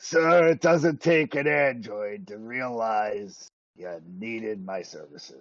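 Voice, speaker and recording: A man in a put-on character voice, medium pitch, fairly slow pace. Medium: actual play. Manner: gruff, folksy drawl.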